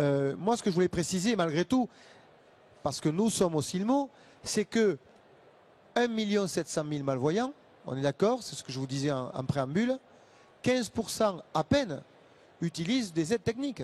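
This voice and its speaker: A man with a Toulouse accent talks at a moderate pace in a high pitch, using very wide pitch swings and long, frequent pauses. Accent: southern French (Toulouse area). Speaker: association representative for the visually impaired. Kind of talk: panel debate.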